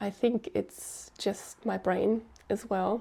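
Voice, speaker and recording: A woman speaks at a medium pitch with vocal fry and fairly even intonation. The recording is very clean, with a silent background. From Germany. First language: German. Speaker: podcast host. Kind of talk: solo podcast monologue. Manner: hesitant, with fillers.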